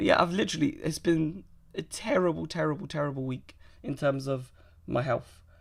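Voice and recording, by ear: A woman puts on a raspy, hoarse character voice with a very deep, low pitch. She talks at a fairly quick pace.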